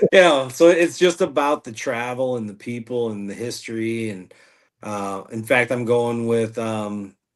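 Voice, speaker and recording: With a US Midwestern accent, a man speaks at a fairly slow pace. His pitch is medium, with ordinary variation. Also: big swings in loudness. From US Midwest, northwest Indiana. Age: 40s. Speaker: podcast host and outdoor writer, guest. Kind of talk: casual interview chat.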